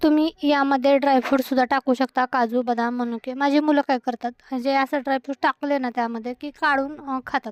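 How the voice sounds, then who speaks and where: A woman's high-pitched voice in a monotone, flat intonation, with a dry, close sound and no echo. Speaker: home cooking vlogger. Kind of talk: voice-over narration for cooking vlog. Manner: casual, chatty.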